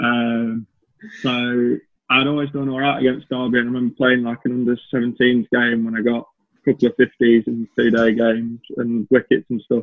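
In a Lancashire accent, a man speaks at a moderate pace and medium pitch with monotone, flat intonation. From northern England, Chorley, Lancashire. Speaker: professional cricketer. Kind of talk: casual chat.

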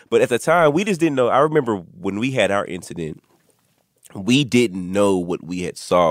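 Someone with an American accent talks at a fairly quick pace, in a dry, close sound with no echo on a very clean recording with a silent background. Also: man. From Texas (Dallas). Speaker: podcast host, paranormal investigator. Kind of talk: casual chat.

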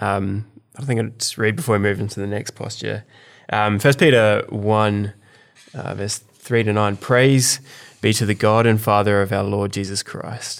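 The recording is very clean, with a silent background. A man with a fairly low voice speaks at a moderate pace and with fairly even intonation. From South Australia. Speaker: podcast host, church leader. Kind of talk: casual chat with prayer.

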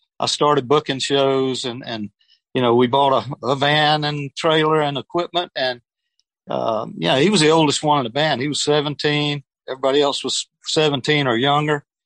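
Fairly high for a man, this Southern US accented voice moves at a moderate pace with fairly even intonation, recorded dry and close with no echo against a quiet background. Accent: Southern US (Georgia). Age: 70s. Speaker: retired air force veteran, music manager. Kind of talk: interview.

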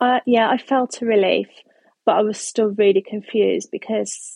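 In a dry, close recording with no echo, a woman with a plain, everyday voice speaks at a moderate pace, fairly high in pitch with fairly even intonation. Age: 30s. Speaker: endometriosis patient sharing her story. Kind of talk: interview testimony. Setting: studio.

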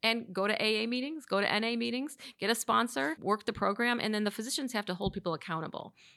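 A woman with an American accent speaks at a very fast pace with hardly any pauses, using a fairly high pitch, a bright, sharp tone and ordinary pitch variation. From Chicago, Illinois. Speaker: psychiatrist, clinic head. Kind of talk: interview.

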